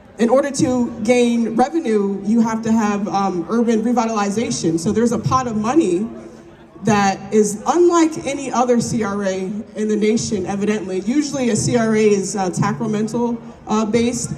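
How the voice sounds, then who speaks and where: A woman with a fairly high pitch speaks with ordinary pitch variation. There is audible room echo and noticeable background noise. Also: moderate pace. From South Jersey, Cape May. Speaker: community organizer. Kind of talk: interview monologue. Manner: casual, animated.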